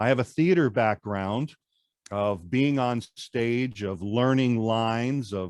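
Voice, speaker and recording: Speaking at a very slow pace, a man with an American accent has a medium pitch and ordinary pitch variation. The sound is dry and close with no echo, over a quiet background. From New York. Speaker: presentation coach. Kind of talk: interview.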